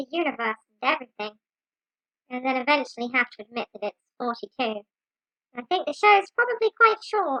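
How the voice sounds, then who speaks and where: A put-on character voice, female-sounding and high-pitched for a woman, at a fairly quick pace broken by long, frequent pauses. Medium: audio drama. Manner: brisk, businesslike.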